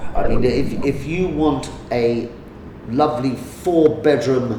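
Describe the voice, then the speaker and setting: Noticeable background noise and audible room echo accompany a man with an American accent and ordinary pitch variation. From London, England (Lambeth). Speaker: real estate agent. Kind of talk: interview. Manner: halting, many repetitions.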